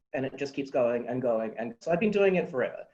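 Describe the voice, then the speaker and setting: A man with a fairly high pitch. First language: not English. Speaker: fan fiction writer. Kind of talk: panel discussion.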